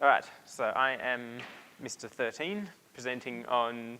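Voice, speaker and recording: A man speaks at a fairly slow pace with an Australian accent. His medium-pitched voice has a bright, sharp tone and ordinary pitch variation. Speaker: presenter at a hobbyist meetup. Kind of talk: technical presentation. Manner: hesitant, many fillers.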